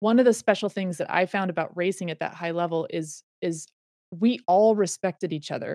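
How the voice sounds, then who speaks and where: A woman's plain, everyday voice with an American accent, medium in pitch with ordinary pitch variation, at a fairly quick pace. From US West, Reno, Nevada. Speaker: former pro cyclist and mentor. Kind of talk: casual interview chat.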